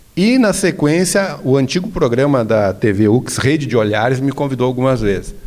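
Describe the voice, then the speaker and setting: Ordinary pitch variation and a moderate pace mark this voice. It is an unremarkable speaking voice. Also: man. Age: 60s. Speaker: religious leader and association president. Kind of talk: interview conversation.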